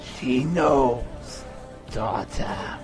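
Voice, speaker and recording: Over loud background music, a man performs a put-on character voice at a medium pitch. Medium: audio drama. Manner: falsely friendly, familiar.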